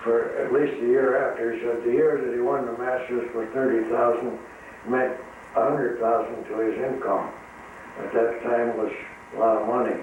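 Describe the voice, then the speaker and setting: Over noticeable background noise, a man with an American accent speaks at a moderate pace and medium pitch in a monotone, flat intonation. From Midwestern US, Illinois. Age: 80s+. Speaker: retired tire factory worker. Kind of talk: interview answer. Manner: hesitant, reminiscing.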